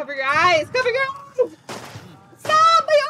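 A woman puts on a squeaky character voice at an extremely high pitch. She sounds panicked.

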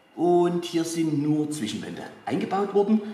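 Audible room echo around a man speaking fairly slowly in a high register. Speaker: tour guide. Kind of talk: guided tour explanation. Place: hall. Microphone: camera far.

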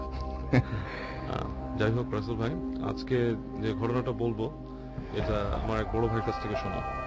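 Loud music plays in the background as a man speaks in a dry sound with no echo. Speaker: caller telling a ghost story. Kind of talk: storytelling to a radio host, casual. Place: studio. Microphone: studio mic.

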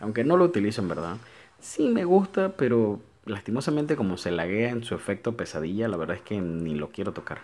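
A man with a fairly low pitch speaks at a fairly quick pace, his voice making very wide pitch swings. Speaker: gaming YouTuber. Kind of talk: casual gameplay commentary. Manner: informal and chatty.

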